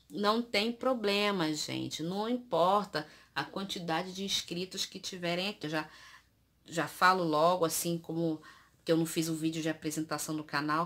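A woman talks with a fairly low pitch and ordinary pitch variation. Her pace is moderate. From Brazil. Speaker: youtuber. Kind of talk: product review vlog. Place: home room. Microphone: phone near.

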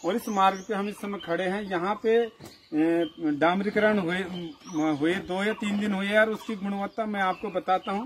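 Over light background noise, a man with a high pitch speaks at a fairly slow pace with fairly even intonation. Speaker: local reporter on road works. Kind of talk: informal on-site report. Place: open country. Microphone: camera far.

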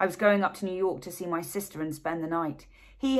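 A plain read-aloud delivery

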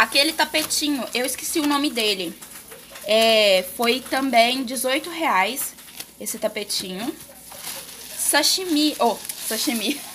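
With light background noise, a woman at a high pitch speaks very slowly, leaving long, frequent pauses. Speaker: home vlogger. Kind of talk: casual vlog chat. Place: kitchen. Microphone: phone near.

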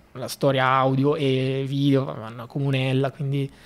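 A man speaks at a fairly slow pace. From northern Italy, Valsassina (Lecco, Lombardy); Lombardy, Italy. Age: 20s. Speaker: bicycle traveller; podcast guest. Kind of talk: casual interview. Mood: relaxed, cheerful. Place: studio. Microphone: studio mic.

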